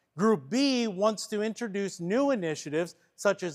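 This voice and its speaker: A man speaks with a Pennsylvania accent in a high voice, with ordinary pitch variation and a dry, close sound with no echo. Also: very clean recording, silent background. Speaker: church workshop trainer. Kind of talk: training workshop; reading aloud a case study.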